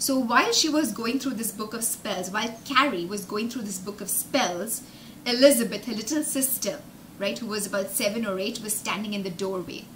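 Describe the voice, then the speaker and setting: Over light background noise, a woman speaks at a fairly quick pace in a fairly high pitch, with an upbeat tone and ordinary pitch variation. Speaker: English teacher and storyteller for children. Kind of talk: live storytelling and vocabulary lesson. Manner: upbeat, explanatory, engaging. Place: home room. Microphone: webcam.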